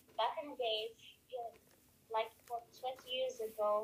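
A woman speaks in a fairly high pitch with a monotone, flat delivery. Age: 20s. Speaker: legal advisor. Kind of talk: testimony. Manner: halting.

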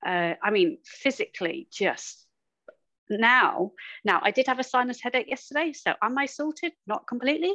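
In a raised, projected voice with a bright, sharp tone, a woman speaks at a high pitch and moderate pace, her pitch swinging very widely, with a dry, close sound and no echo. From central England. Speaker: executive and life coach. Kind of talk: casual interview chat.

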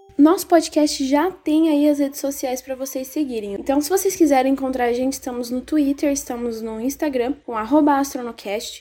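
A woman talks in a high pitch at a moderate pace, with hardly any pauses and ordinary pitch variation. Noticeable background noise runs through the clip. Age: 20s. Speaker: podcast host, history student. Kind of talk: casual solo podcast monologue.

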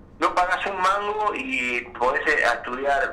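A man talks at a very slow pace amid audible room echo and noticeable background noise. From Argentina, Azul (Buenos Aires province). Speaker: jazz trombonist. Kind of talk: interview. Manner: halting, many repetitions.

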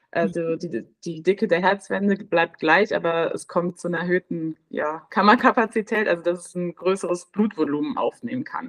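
A woman speaks at a fairly low pitch and a moderate pace, with hardly any pauses. Her loudness swings widely while her pitch variation stays ordinary. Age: 20s. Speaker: midwife. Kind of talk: interview. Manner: halting.

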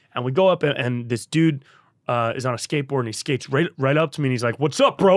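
A man speaks at a very fast pace with a Californian accent. His pitch varies in an ordinary way. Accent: Californian American. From Northern California (Davis, near Sacramento). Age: 30s. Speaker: podcast host and comedian. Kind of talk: casual chat.

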